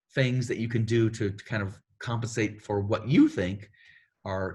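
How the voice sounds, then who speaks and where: In a very clean recording with a silent background, a man speaks with a fairly low, somewhat breathy voice and fairly even intonation. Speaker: themed entertainment creative executive. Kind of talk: career advice panel. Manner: fast.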